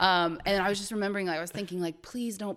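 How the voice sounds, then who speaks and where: A woman's voice at medium pitch with a Midwestern American accent. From Ohio, US Midwest. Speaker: travel enthusiast. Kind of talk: casual chat. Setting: podcast recording with camera.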